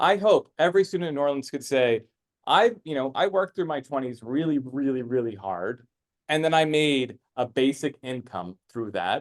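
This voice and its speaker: With lively intonation and a fairly high pitch, a man talks at a moderate pace against a quiet background. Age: 30s. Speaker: philanthropist and tech speaker. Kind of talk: presentation to a live audience. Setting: stage with audience. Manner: hesitant, many fillers and repeats.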